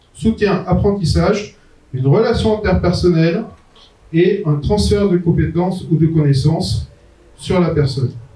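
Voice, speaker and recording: With audible room echo, a man speaks at a high pitch and fairly slow pace, his loudness very even, his pitch variation ordinary, and his pauses long and frequent. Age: 60s. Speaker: entrepreneur and management consultant giving a talk. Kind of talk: conference talk. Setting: conference venue with audience. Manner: hesitant, frequent euh.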